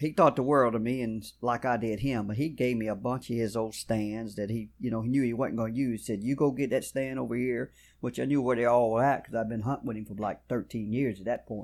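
The recording is very clean with a silent background, and a man with a Louisiana accent talks at a fairly quick pace. His pitch is medium and his intonation fairly even. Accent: Louisiana Southern. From South Louisiana. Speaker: bowhunter. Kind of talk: casual interview chat. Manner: polite, uses Mr. and Ma'am.

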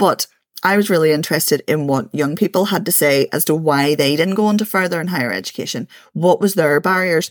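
A woman with a Belfast accent speaks at a fairly quick pace in a fairly low pitch, with ordinary pitch variation and a dry, close sound with no echo. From East Belfast, Northern Ireland. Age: 40s. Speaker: community activist and education centre founder. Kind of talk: podcast interview.

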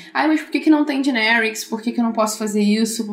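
A woman is heard over noticeable background noise. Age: 20s. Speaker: software developer. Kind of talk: casual tech interview.

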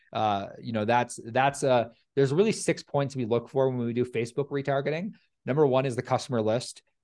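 A man talks at a fairly quick pace with ordinary pitch variation at a medium pitch. It is a plain, everyday voice, recorded against a quiet background. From Canada. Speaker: lead generation agency owner. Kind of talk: casual interview chat.

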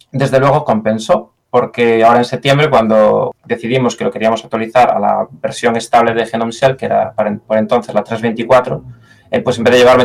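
A man speaks with a Galician accent and fairly even intonation. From Galicia, Spain. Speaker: software engineer. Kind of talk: interview. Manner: hesitant, with fillers and repetitions.

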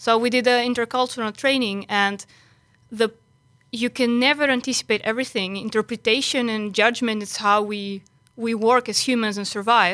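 A woman speaks in a fairly high voice with a bright, sharp tone. Her intonation stays fairly even. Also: moderate pace. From Greece. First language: Greek. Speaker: software engineer. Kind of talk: podcast panel discussion. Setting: studio. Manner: direct.

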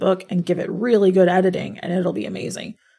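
The voice has vocal fry and moves at a fairly quick pace. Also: woman. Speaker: podcast co-host. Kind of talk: casual chat.

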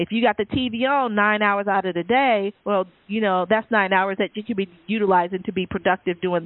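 At a fairly quick pace, a woman talks at medium pitch in an unremarkable speaking voice. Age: 40s. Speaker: radio show host, health and wellness expert. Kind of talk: sponsor read; casual interview chat.

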